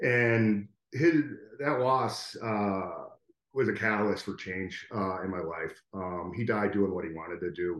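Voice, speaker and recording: In a plain, everyday voice, a man with an American accent talks at a fairly slow pace in a fairly low pitch with ordinary pitch variation. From US Northeast, Connecticut. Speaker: graphic designer and educator. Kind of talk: casual interview.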